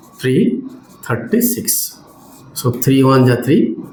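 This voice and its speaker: A man's voice, fairly high in pitch, with very wide pitch swings, audible room echo and noticeable background noise. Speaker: maths teacher. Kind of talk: lecture. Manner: slow, step-by-step.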